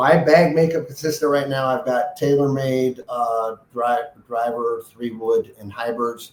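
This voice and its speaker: With a plain, everyday voice at a medium pitch, a man talks at a fairly slow pace with ordinary pitch variation and hardly any pauses. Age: 60s. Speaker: golf grip designer and company founder. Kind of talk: casual interview. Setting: podcast interview.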